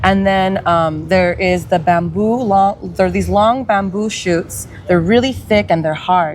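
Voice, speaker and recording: A woman speaks in a Californian accent at a medium pitch, with ordinary pitch variation and very even loudness. Her pace is fairly slow, with hardly any pauses. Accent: Californian American English. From Salinas, California. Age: 30s. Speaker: dancer and artist. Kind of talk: casual chat.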